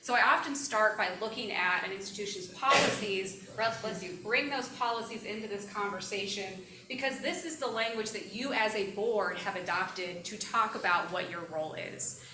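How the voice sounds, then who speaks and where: With hardly any pauses, a woman with an American accent talks at a fairly high pitch and ordinary pitch variation, amid noticeable background noise and audible room echo. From Missouri, US. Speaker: education lawyer giving board training. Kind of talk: presentation to a board. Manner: fast.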